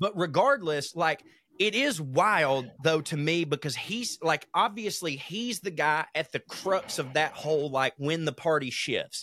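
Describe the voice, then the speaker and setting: A man with a Southern US accent talks at a fairly slow pace in a fairly high pitch, with ordinary pitch variation and a bright, sharp tone. The recording is very clean, with a silent background and a dry, close sound with no echo. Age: 30s. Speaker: podcast co-host. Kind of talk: casual chat.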